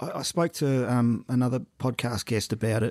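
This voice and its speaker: A man with an Australian accent at a fairly slow pace, in a dry, close sound with no echo and a very clean recording with a silent background. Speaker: podcast host. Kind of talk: casual interview chat.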